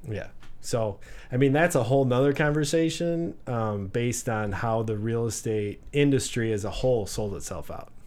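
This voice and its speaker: Medium-pitched male voice with lively intonation and audible room echo. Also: moderate pace. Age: 40s. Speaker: real estate broker and business owner. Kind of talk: casual interview. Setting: studio.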